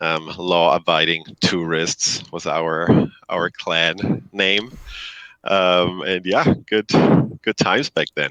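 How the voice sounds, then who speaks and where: With a German accent, a man speaks at a very slow pace in a very deep, low voice. His intonation stays fairly even, and the sound is dry and close with no echo. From Germany. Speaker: company CEO. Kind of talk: interview.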